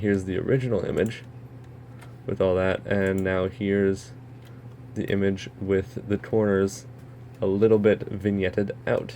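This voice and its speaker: This man's voice is fairly low in pitch. He keeps a moderate pace and fairly even intonation. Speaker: software tutorial maker. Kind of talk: tutorial.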